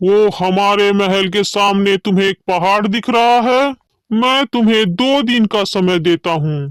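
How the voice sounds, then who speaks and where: In a high, cartoonish character voice, a man speaks at a fairly slow pace with very even loudness, the sound dry and close with no echo. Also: ordinary pitch variation. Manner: commanding, haughty.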